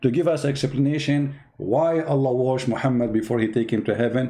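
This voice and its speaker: A man's dark, mellow tone at a fairly quick pace, with audible room echo. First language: not English. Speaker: religious commentator. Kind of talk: mocking commentary. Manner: animated.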